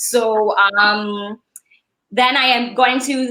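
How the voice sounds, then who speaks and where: This woman has a fairly high voice with a bright, sharp tone. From Saint Lucia. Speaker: attorney and events entrepreneur. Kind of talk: casual interview conversation. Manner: expressive, animated.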